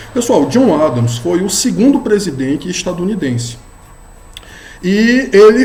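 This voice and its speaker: A man's voice with very wide pitch swings, audible room echo, and music in the background. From Brazilian Northeast. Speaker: law professor. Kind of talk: lecture. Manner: casual, with frequent fillers.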